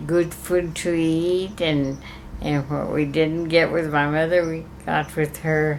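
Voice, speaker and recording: A woman's very deep, low voice, flat and monotone, at a very slow pace over noticeable background noise. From Santa Fe, New Mexico. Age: 80s+. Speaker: gift shop owner. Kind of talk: interview answer.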